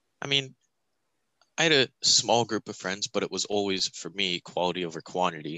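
A man speaks at a moderate pace in an ordinary speaking voice. His pitch is fairly low, and his intonation is lively. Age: 20s. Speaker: podcast co-host. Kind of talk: casual chat.

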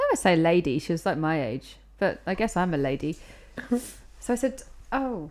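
A woman's medium-pitched voice, fairly quick, with very wide pitch swings. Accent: British. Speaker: podcast co-host. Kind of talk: casual chat. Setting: home recording with mics.

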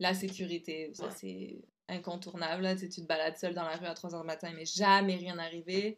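Loudness swings widely as a woman speaks at a moderate pace in a fairly low pitch. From southern France, Nice. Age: 30s. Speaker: business owner. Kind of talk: interview. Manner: animated.

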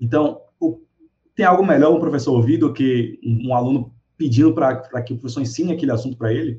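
A man's somewhat breathy voice moves at a moderate pace with ordinary pitch variation. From Brazil, Salvador (Bahia). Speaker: teacher and social media educator. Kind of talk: casual chat. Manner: animated.

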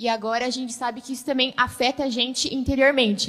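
At a very fast pace, a woman speaks in a high pitch with fairly even intonation. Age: young. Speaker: church youth member. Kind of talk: panel discussion.

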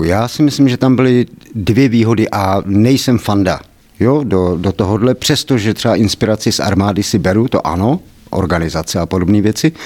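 Fairly quick delivery in an unremarkable speaking voice, with ordinary pitch variation. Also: man. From Czechia, Kladno area. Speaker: personal development trainer. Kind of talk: interview.

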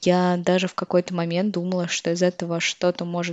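The woman's voice sits at a fairly low pitch. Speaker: podcast host. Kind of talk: monologue reflection.

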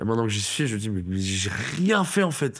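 A man's voice with very wide pitch swings. He talks at a moderate pace. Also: very clean recording, silent background. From France, Toulouse. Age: 20s. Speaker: stand-up comedian. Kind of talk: casual interview chat. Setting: studio.

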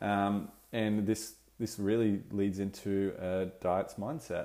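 In a very clean recording with a silent background, a man talks at a fairly low pitch in a dark, mellow tone. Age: 20s. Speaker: dietitian and podcast host. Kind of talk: solo podcast monologue.

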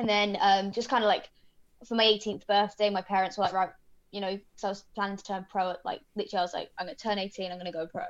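A woman with a British accent, medium in pitch, very fast, in a flat monotone. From Britain. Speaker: mixed martial arts fighter. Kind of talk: interview.

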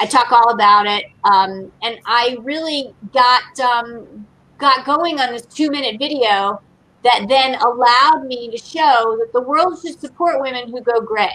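Speaking at a fairly slow pace, a woman has a high pitch, ordinary pitch variation and a bright, sharp tone. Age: 50s. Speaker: beer educator and advocate. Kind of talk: casual chat.

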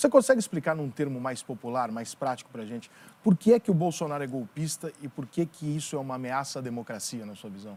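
Talking very fast at a medium pitch, a man uses lively intonation and big swings in loudness. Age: 40s. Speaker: podcast host, journalist. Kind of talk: interview. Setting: studio.

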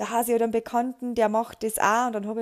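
In a very clean recording with a silent background, a woman's fairly high voice sounds dry and close with no echo. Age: 30s. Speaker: podcaster. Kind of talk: casual monologue.

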